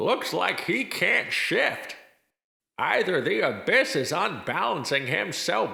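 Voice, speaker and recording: A man puts on a high-pitched character voice. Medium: audio drama. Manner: dry, sardonic.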